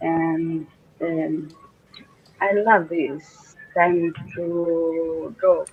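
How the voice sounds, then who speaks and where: The speaker talks with a Russian accent at a very slow pace. Long, frequent pauses break up the speech over noticeable background noise. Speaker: doctor and amateur artist. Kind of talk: casual chat. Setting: video call. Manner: halting.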